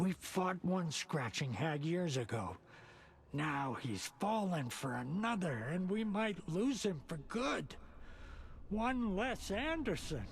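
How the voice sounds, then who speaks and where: A man's put-on character voice, raspy and high in pitch, with very wide pitch swings, very even loudness and a fairly slow pace over clear background noise. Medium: video game. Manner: cryptic, rambling.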